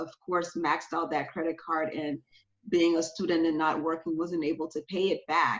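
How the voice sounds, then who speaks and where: A woman speaks in an American accent at a fairly low pitch. Her intonation is monotone and flat. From Liberia. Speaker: personal finance coach and children's author. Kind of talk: interview conversation.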